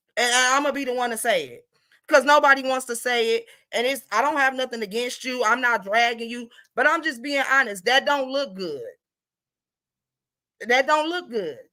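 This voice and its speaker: A woman speaks in a high, bright and sharp voice that is raised and projected, animated in tone, at a moderate pace, with big swings in loudness and long, frequent pauses. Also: ordinary pitch variation. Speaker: livestream gossip commentator. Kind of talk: casual livestream commentary.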